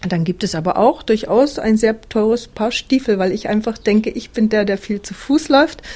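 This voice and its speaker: A woman speaks at a moderate pace with hardly any pauses and ordinary pitch variation. Her voice sits fairly high in pitch, with a dark, mellow tone. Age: 50s. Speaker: interviewee living a simple life, former teacher. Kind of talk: interview.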